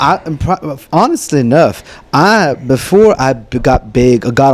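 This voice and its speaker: The speaker is a man with an American accent. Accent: Louisiana-ish, Cajun-tinged Texas. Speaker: content creator. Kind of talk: interview answer. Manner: high energy, lively.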